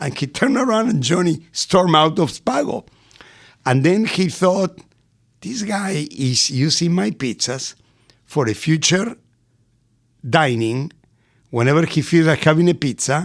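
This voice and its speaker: A man's fairly high, animated voice with very wide pitch swings, at a fairly slow pace with long, frequent pauses. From Argentina, Buenos Aires. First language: Spanish. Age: 60s. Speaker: restaurateur. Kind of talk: podcast interview. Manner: animated storytelling.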